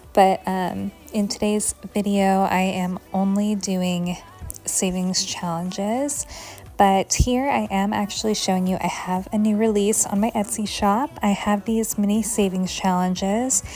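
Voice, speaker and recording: Music plays in the background while a woman talks at a fairly slow pace. Her pitch is medium and her intonation fairly even. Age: 30s. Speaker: flight attendant and savings challenge vlogger. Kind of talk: chatty voiceover. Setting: home voiceover. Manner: chatty.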